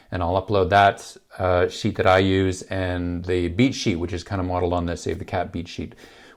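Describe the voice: A man with a gravelly, low voice speaks at a moderate pace with little pitch movement.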